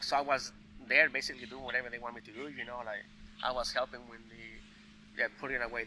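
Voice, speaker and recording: A man with a Spanish accent talks at a very fast pace. His tone is bright and sharp, and his intonation is monotone and flat. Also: medium pitch for a man. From Mexico (Veracruz). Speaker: cook. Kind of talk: casual chat. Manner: halting, many fillers.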